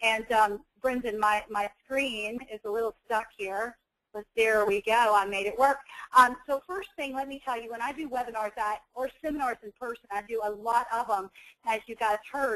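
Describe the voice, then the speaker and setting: A woman speaks at a moderate pace in a fairly high voice. Her intonation stays fairly even while her loudness swings widely. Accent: American. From US South. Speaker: nurse and coding educator. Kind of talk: webinar presentation. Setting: online webinar.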